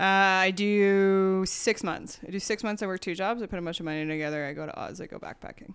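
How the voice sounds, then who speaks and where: An ordinary speaking voice at a fairly quick pace, fairly even in intonation, with big swings in loudness, on a very clean recording with a silent background. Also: woman, medium pitch for a woman, hardly any pauses. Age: 30s. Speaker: beer industry worker. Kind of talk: casual chat. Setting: studio.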